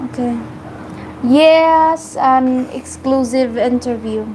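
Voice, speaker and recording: Speaking very slowly with long, frequent pauses, a woman uses a high voice and ordinary pitch variation over noticeable background noise. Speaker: vlogger. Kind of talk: casual chat. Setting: live stream.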